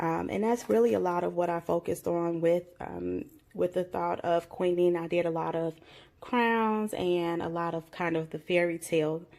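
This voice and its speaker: A woman with a normal speaking voice, fairly low in pitch, with ordinary pitch variation at a moderate pace, on a very clean recording with a silent background. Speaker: craft YouTuber. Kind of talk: show-and-tell haul video.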